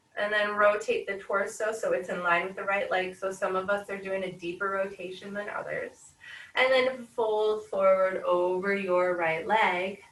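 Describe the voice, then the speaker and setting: A woman's medium-pitched voice, calm in tone and monotone with flat intonation, with audible room echo. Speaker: yoga instructor. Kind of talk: guided yoga class. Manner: slow, calm.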